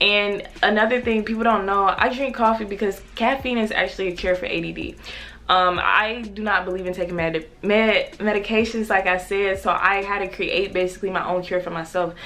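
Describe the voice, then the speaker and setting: Noticeable background noise sits behind a woman's voice. She talks at a fairly quick pace and medium pitch. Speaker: YouTuber. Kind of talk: personal vlog confession. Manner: fast; energetic, upbeat.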